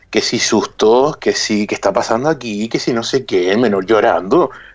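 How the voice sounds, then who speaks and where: A man at a moderate pace. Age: 30s. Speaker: cyber-harassment expert and teacher. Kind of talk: interview.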